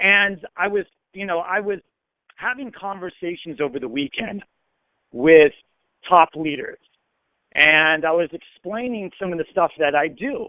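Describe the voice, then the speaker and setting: Using an American accent, a man speaks at a high pitch and a fairly slow pace, with ordinary pitch variation and long, frequent pauses. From US, Arizona. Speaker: network marketer. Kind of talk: training call. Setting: phone call. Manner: slurred, lazy tongue.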